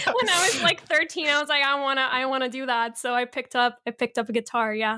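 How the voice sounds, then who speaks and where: In a Spanish accent, a woman talks at a very fast pace in a high, raised, projected voice over noticeable background noise. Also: ordinary pitch variation. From Colombia, then Canada from age ten. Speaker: actress and YouTuber. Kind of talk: casual podcast interview.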